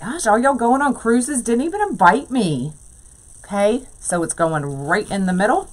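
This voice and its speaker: A woman speaks at a moderate pace in a fairly high voice with very wide pitch swings, over noticeable background noise. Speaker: wreath maker, crafting livestream host. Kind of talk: live crafting tutorial. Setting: livestream. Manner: casual, chatty.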